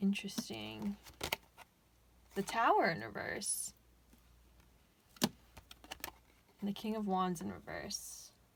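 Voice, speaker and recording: Over noticeable background noise, a woman speaks very slowly. She leaves long, frequent pauses. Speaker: tarot reader. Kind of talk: pick-a-card tarot reading. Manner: halting, self-correcting; casual, chatty.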